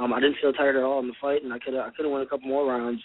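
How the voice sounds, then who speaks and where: A man's medium-pitched voice in a flat monotone. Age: 20s. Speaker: MMA fighter. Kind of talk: radio interview.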